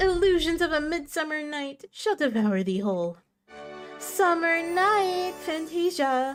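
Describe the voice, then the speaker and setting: Faint music plays behind a woman doing a put-on character voice at an extremely high pitch, shaky and fairly slow, with lively intonation. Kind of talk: archaic, theatrical. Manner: dramatic, shaky, nervous.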